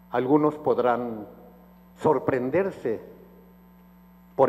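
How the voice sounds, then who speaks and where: A man speaks at a very slow pace. His fairly high voice shows ordinary pitch variation. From Mexico, Tuxpan, Nayarit. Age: 70s. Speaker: book author. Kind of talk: book presentation speech.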